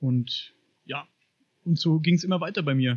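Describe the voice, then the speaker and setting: His pace is fairly quick. The man keeps his intonation fairly even. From Upper Franconia, Bavaria, Germany. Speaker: podcaster on paranormal and UFO topics. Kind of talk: podcast interview.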